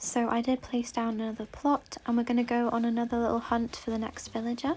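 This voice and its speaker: With an English accent, a woman talks very fast at a fairly high pitch in a monotone, flat delivery. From England. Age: 20s. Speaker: gaming YouTuber. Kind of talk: casual gameplay commentary. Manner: casual, chatty.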